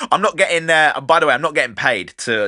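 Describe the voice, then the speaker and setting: Speaking very fast, a man with a southern English accent uses an animated tone. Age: 30s. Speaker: podcast host and DJ. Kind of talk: casual podcast monologue.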